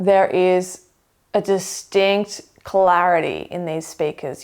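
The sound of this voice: A woman speaks at a fairly low pitch with a slightly mellow tone and ordinary pitch variation.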